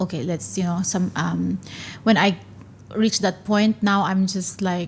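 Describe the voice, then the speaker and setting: In a Filipino accent, this voice moves at a fairly slow pace, somewhat breathy, with fairly even intonation. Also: woman, medium pitch for a woman. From Philippines. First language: not English (Filipino language). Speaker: stand-up comedian. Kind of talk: interview. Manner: hesitant, with fillers.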